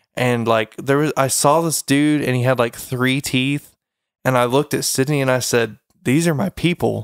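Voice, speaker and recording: A man with an American accent has an ordinary speaking voice, fairly even intonation and very even loudness at a moderate pace. The recording is very clean with a silent background and a dry, close sound with no echo. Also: medium pitch for a man. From eastern Oklahoma. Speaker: podcast host. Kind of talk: casual chat.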